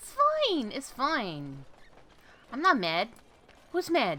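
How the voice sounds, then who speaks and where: The voice has an American accent and moves at a very slow pace with very wide pitch swings. Noticeable background noise runs underneath. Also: woman. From New York. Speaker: gaming video creator. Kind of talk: let's play commentary. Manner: animated, rambling repetition.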